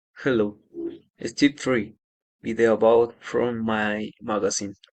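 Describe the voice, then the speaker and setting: With a Spanish accent, a man speaks at a fairly slow pace and a medium pitch. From Colombia, Nariño (Ipiales). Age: 20s. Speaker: agronomy student. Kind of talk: class assignment presentation. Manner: halting.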